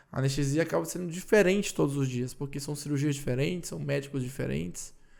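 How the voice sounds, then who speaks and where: A man with a Ceará accent talks very fast at a fairly high pitch, his voice swinging very widely in pitch. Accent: Cearense (northeastern Brazilian). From Ceará, Brazil. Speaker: anesthesiologist. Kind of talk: casual podcast interview.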